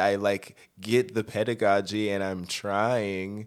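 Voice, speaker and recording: On a very clean recording with a silent background, a man with an American accent talks at a fairly slow pace and fairly low pitch in a normal speaking voice. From Colorado, Denver. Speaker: touring musician and arranger. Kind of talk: casual interview chat.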